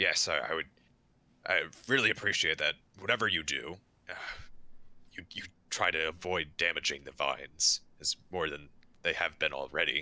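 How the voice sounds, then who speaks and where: A man's put-on character voice, raspy and very deep in pitch, at a moderate pace with ordinary pitch variation and long, frequent pauses. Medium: actual play. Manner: hesitant, halting.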